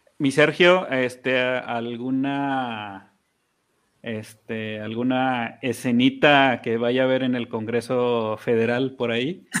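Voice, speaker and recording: A man of medium pitch at a very slow pace, with fairly even intonation over a quiet background. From Mexico, Chihuahua. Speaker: podcast co-host. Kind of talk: casual chat.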